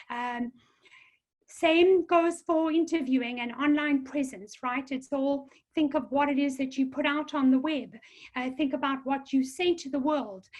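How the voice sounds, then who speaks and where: At a fairly slow pace, a woman with a South African accent speaks in a high pitch with fairly even intonation. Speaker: career counselor. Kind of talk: webinar presentation. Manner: hesitant with many fillers.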